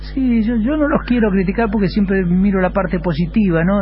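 Noticeable background noise and audible room echo fill the recording. Within it, a man talks at a moderate pace. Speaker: athletics coach. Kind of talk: interview.

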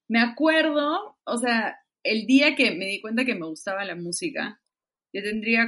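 The pitch swings very widely in a bright, sharp tone. The pace is fairly slow. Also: woman. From Peru. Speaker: musician. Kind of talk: casual interview.

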